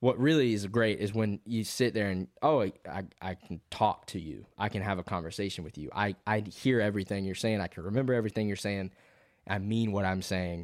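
A man with a plain, everyday voice speaks at a fairly quick pace with ordinary pitch variation. His pitch is fairly low, and the recording is very clean with a silent background. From US South, Georgia. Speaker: country songwriter. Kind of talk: casual chat.

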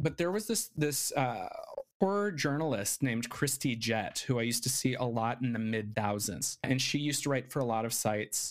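In a plain, everyday voice with an American accent, a man speaks at a medium pitch and moderate pace with lively intonation on a very clean recording with a silent background. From Arizona, Navajo reservation area. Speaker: filmmaker and writer. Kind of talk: casual interview.

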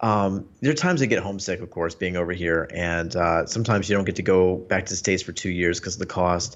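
A man with a Mid-Atlantic accent speaks at a very fast pace with hardly any pauses. His pitch is very deep and low, with ordinary variation. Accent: American, Mid-Atlantic. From US, Northern Virginia (Washington D.C. area). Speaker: Paralympic fencer and tech writer. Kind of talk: casual chat.

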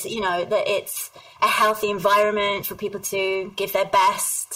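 A woman with a southern English accent, at a fairly slow pace. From southern England. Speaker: HR executive. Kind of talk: interview.

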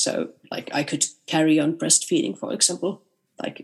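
A woman with a Finnish accent, very deep low pitch, vocal fry and very wide pitch swings at a fairly slow pace. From Finnish Lapland, Rovaniemi. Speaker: composer. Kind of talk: interview.

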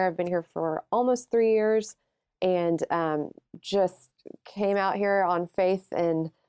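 At a fairly slow pace, a woman with a Southern US accent talks at a medium pitch with ordinary pitch variation. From Alabama. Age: 30s. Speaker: recruiter and blogger. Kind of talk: podcast interview.

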